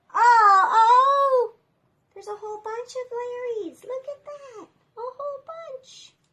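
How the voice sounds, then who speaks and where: Using a squeaky put-on character voice, a woman speaks at a fairly slow pace in an animated tone, her extremely high pitch raised and projected. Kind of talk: read-aloud storytime. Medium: read story. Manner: animated, talks straight to the reader.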